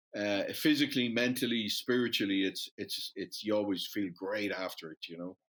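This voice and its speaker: Speaking with an Irish accent, a man with a fairly low pitch keeps a moderate pace and ordinary pitch variation, with hardly any pauses. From Dublin, Ireland. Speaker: metals investment company founder. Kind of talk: casual interview chat.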